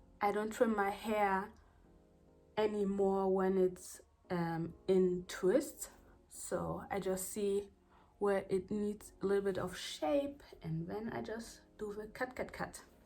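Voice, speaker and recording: In a strong German accent, a woman speaks very slowly with a dark, mellow tone, medium pitch and ordinary pitch variation. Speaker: hair care vlogger. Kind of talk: tutorial vlog. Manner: casual, halting at times.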